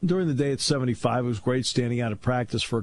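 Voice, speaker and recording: This man's voice sits at a medium pitch. It carries a somewhat breathy quality. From New England. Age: 60s. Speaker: sports radio host and play-by-play announcer. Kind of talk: casual talk radio chat. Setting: radio studio.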